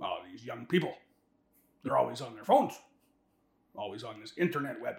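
A man's put-on character voice at a fairly quick pace, with big swings in loudness. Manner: grumpy, complaining.

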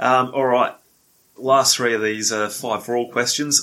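At a moderate pace, a man speaks in an unremarkable speaking voice at a medium pitch with fairly even intonation. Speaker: podcast host. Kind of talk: casual interview.

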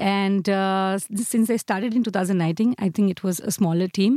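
A woman talks at a fairly quick pace with a medium pitch and a dark, mellow tone. The sound is dry and close with no echo, on a very clean recording with a silent background. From India, Mumbai. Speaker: dancer and project manager. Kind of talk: interview. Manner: hesitant, many fillers.

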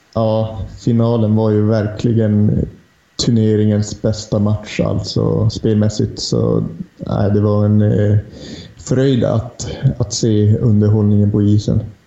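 A man talks at a very slow pace in a monotone, flat intonation. His loudness stays very even, and there is noticeable background noise. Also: fairly low pitch for a man. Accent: northern Swedish. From Lapland, northern Sweden. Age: 30s. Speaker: hockey journalist. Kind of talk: casual chat.

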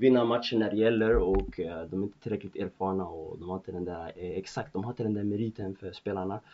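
This man's voice sits fairly low for a man and shows ordinary variation in pitch. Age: 20s. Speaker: football podcast host. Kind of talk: solo football commentary podcast. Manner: hesitant, many fillers.

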